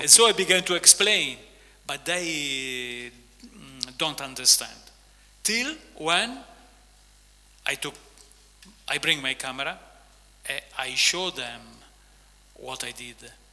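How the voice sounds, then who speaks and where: With an Italian accent and a fairly high pitch, a man talks very slowly with lively intonation and long, frequent pauses over noticeable background noise. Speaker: author and visual artist. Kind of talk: on-stage interview. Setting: stage with audience. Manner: halting.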